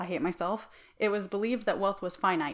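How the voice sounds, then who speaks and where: Here is a woman with a normal speaking voice. Her pitch is medium, with ordinary variation. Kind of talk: opinion commentary to camera. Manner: casual, conversational.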